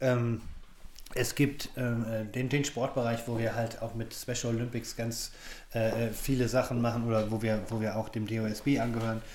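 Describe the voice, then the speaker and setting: Amid audible room echo, a man speaks at a medium pitch and a moderate pace with monotone, flat intonation. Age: 40s. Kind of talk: interview. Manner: halting.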